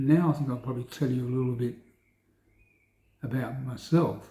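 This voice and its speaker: With an Australian accent, a man speaks at a medium pitch in a dark, mellow tone, somewhat breathy, with fairly even intonation. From South Australia. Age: 60s. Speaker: Parkinson's patient video diarist. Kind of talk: personal video diary. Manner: rambling, hesitant with fillers.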